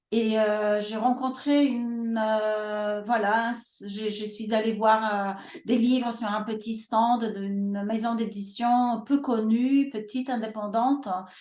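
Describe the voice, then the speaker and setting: A woman with a Polish accent and fairly high pitch speaks at a very slow pace, with hardly any pauses. Her intonation is monotone and flat, and there is audible room echo. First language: Polish (speaking French). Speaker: publisher. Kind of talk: webinar interview. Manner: halting, many hesitations.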